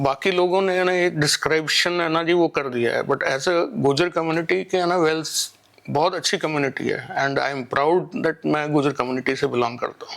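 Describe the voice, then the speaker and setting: A man with an unremarkable speaking voice at a fairly high pitch, a moderate pace and ordinary pitch variation. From Delhi, India. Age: 60s. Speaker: community member. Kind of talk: interview.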